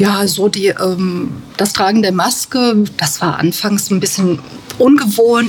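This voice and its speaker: Noticeable background noise is there throughout. A woman talks above it. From Germany, Bad Kreuznach (Rhineland-Palatinate). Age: 50s. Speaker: bookkeeper at a care home. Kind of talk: interview.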